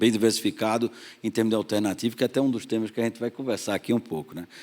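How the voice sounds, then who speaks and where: Very fast speech comes from a man at a medium pitch with fairly even intonation, recorded very cleanly against a silent background. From Pernambuco, northeast Brazil. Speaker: investment fund partner. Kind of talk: panel discussion.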